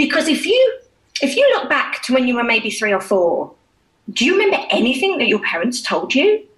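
In a British accent, a woman talks fairly quickly in a high voice, her pitch swinging very widely while her loudness stays very even. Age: 40s. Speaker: children's music educator and hypnotherapist. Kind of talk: interview.

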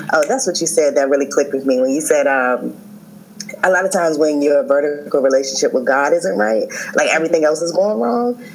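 With an American accent, a woman talks at a fairly quick pace with lively intonation and a very deep, low pitch, amid noticeable background noise. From Maryland. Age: 30s. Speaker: event planner. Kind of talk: casual chat.

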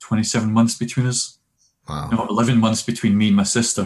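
This man has a Scottish accent. He speaks at a moderate pace. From Scotland, working-class Glasgow. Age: 50s. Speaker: minister and conference speaker. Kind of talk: casual interview.

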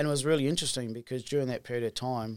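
This is a man with an Australian accent. His pitch is medium. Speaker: distillery co-owner. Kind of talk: casual chat.

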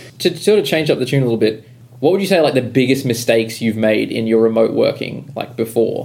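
A man with an Australian accent, medium in pitch, at a very fast pace with lively intonation. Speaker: podcast host. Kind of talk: casual chat.

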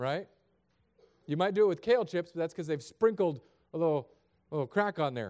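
Here a man speaks at a high pitch with a fairly quick pace and an animated tone. His intonation is lively, broken up by long, frequent pauses. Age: 30s. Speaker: pastor. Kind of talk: sermon.

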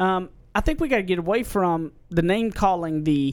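Pitched high, a man speaks with lively intonation. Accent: American. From Southern US. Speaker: podcast host.

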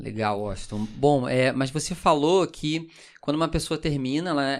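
A fairly high-pitched man's voice at a moderate pace, with ordinary pitch variation, on a very clean recording with a silent background. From Brazil, Rio de Janeiro. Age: 20s. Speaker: pastor. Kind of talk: casual chat.

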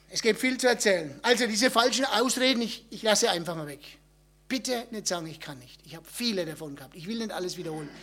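At a very fast pace, a high-pitched man speaks in a Franconian accent, with lively intonation, big swings in loudness and an animated tone. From Upper Franconia, Germany. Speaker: missionary. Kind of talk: talk at a church event.

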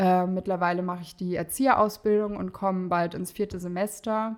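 A woman's fairly even intonation is heard clearly on a very clean recording with a silent background. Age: 20s. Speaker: mother in training as an educator. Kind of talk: personal story interview.

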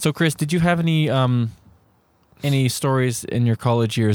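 On a very clean recording with a silent background, a man with a Canadian accent speaks in a plain, everyday voice at a medium pitch with ordinary pitch variation. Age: 30s. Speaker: podcast co-host. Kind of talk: casual chat. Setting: home recording at co-host's place.

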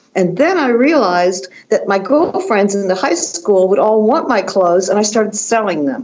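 With noticeable background noise behind her, a woman with an American accent talks at a moderate pace and medium pitch, her intonation lively, her loudness very even and her speech with hardly any pauses. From Washington, D.C. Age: 70s. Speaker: fashion designer and author. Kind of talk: interview. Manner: animated.

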